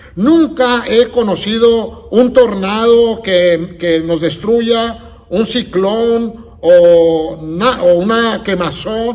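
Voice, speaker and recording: Amid noticeable background noise and audible room echo, a man speaks very slowly at an extremely high pitch. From United States. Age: 60s. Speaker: pastor. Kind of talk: sermon.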